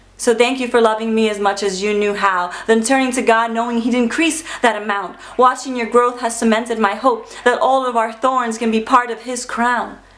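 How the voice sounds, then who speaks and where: A woman with a fairly high voice talks at a moderate pace with hardly any pauses over noticeable background noise. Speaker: spoken word poet. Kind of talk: spoken word poetry performance.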